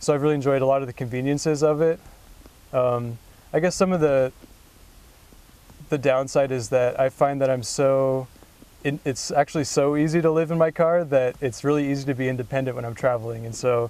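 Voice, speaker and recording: Speaking at a fairly quick pace, a man keeps a fairly even intonation in a dry sound with no echo. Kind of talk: interview answer. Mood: relaxed, reflective. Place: car.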